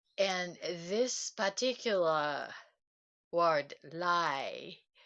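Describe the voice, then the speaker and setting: A woman's bright, sharp voice in a Japanese accent, very slow, with ordinary pitch variation. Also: fairly low pitch for a woman. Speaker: self-help livestreamer. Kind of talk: casual livestream talk. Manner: halting, many fillers.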